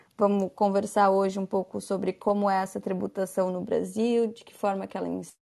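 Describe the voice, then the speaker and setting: Here a woman talks at a moderate pace. Her pitch sits at a medium level. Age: 20s. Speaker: lawyer. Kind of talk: explanatory talk on a podcast.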